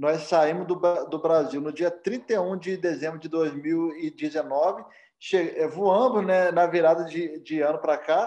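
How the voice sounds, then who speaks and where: This man's voice sits high in pitch and has a dark, mellow tone. His intonation stays fairly even. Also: fairly slow pace. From Cordeiro, Rio de Janeiro state mountain region, Brazil. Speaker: missionary pastor. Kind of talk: interview.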